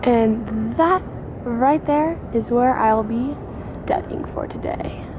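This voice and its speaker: The speech is very slow, with ordinary pitch variation. Audible room echo and noticeable background noise fill the recording. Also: woman, high pitch for a woman. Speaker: college student vlogger. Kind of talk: casual vlog.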